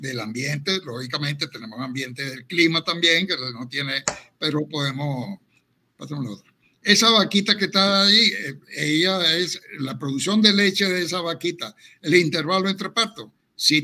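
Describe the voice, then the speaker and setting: A man's high-pitched voice has a bright, sharp tone, lively intonation and big swings in loudness. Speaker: veterinarian, cattle genetics expert. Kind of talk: lecture with slides.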